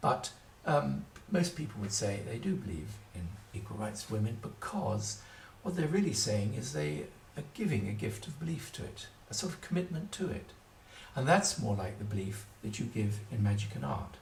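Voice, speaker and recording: Fairly low male voice with very wide pitch swings at a moderate pace, plus audible room echo and noticeable background noise. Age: 70s. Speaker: writer on magic. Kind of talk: solo video talk. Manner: hesitant, with fillers.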